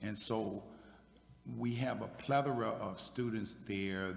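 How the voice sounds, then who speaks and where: A man with an American accent speaks at a fairly slow pace. His pitch varies in an ordinary way, and room echo is audible. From Virginia, US South. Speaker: military veteran, high school equity staff. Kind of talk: panel discussion. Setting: church sanctuary with audience.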